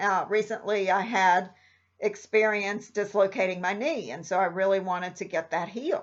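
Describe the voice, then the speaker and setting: Over a quiet background, a woman with an unremarkable speaking voice talks at a moderate pace and medium pitch. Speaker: meditation guide. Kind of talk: casual talk to camera.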